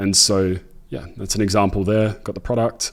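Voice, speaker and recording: A man's fairly low voice in an Australian accent at a fairly quick pace. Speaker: e-commerce entrepreneur and YouTuber. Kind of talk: tutorial. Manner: casual.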